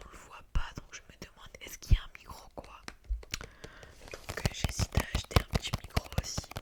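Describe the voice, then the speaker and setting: A woman whispers at a fairly quick pace, broken by long, frequent pauses, her loudness swinging widely against noticeable background noise. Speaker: ASMR creator. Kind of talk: ASMR casual chat to camera. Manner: whispered.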